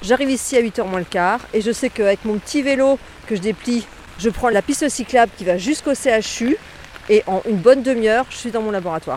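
A woman at a fairly quick pace and fairly high pitch, with ordinary pitch variation, over noticeable background noise. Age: 50s. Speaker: bike commuter. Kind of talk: testimony. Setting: outdoors at a car park. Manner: animated.

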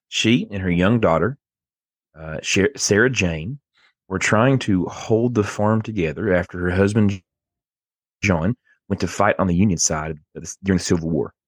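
A man's fairly low voice with an Appalachian accent, moderate pace, long and frequent pauses, ordinary pitch variation, and a dry, close sound with no echo against a quiet background. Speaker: podcast host. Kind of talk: casual chat, storytelling.

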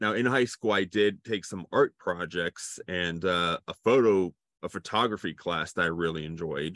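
Very deep and low, a man's voice comes in an American accent at a fairly slow pace. His pitch varies in an ordinary way. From Cincinnati, Ohio, US Midwest. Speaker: filmmaker. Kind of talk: interview.

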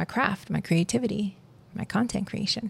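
A woman speaks with a somewhat breathy voice and a dark, mellow tone. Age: 30s. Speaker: podcast host. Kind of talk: casual monologue. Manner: laughing often.

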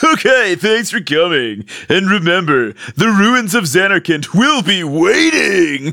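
A man puts on a character voice, high in pitch. He delivers it at a fairly slow pace. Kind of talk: game show host voice. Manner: cheesy, over-the-top.

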